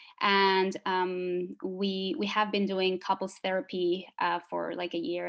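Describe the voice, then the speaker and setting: A woman speaks with a Spanish accent. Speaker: psychologist and former group member. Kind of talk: group interview. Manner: hesitant, many fillers.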